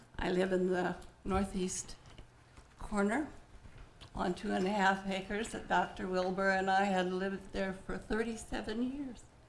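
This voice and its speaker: A woman speaks at a medium pitch and a fairly slow pace, with fairly even intonation and long, frequent pauses. Room echo is audible. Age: 70s. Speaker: local resident testifying at council. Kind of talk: public comment testimony. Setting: city council chambers.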